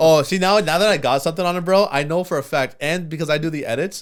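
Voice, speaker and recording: Someone with a Pakistani accent talks at a very fast pace with ordinary pitch variation. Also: man. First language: Urdu. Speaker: podcast co-host who edits the show. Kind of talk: casual chat.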